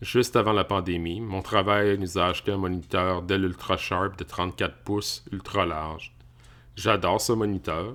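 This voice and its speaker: A man's very deep, low voice carries a bright, sharp tone and fairly even intonation in a very clean recording with a silent background. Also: moderate pace. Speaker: tech YouTuber. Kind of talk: casual tech review. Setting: home office.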